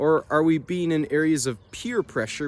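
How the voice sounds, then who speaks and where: A man with a northern US accent. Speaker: nature vlogger. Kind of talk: casual reflective vlog talk. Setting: outdoors.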